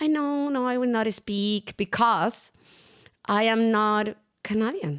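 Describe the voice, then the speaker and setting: A woman with a Latin American accent speaks at a fairly slow pace, leaving long, frequent pauses, her fairly high voice moving with lively intonation. The recording is very clean, with a silent background. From Chile. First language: Spanish. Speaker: entrepreneur. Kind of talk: interview.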